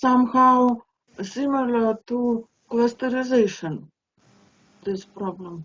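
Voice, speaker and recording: In a Russian accent, a woman speaks at a fairly slow pace with a high pitch, ordinary pitch variation and long, frequent pauses. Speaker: conference attendee asking questions. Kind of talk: Q&A discussion. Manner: halting.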